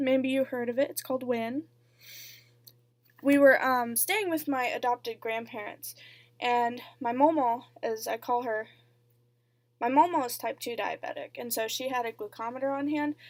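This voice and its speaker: A woman at a high pitch, moderate pace and fairly even intonation, on a very clean recording with a silent background. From US, moved around as military child. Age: 20s. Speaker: vlogger, student. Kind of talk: personal vlog storytelling. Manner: casual, with frequent fillers.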